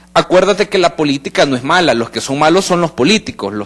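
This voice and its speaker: Against noticeable background noise, a man speaks fairly quickly with very wide pitch swings. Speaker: political analyst. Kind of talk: panel discussion on live radio/TV talk show.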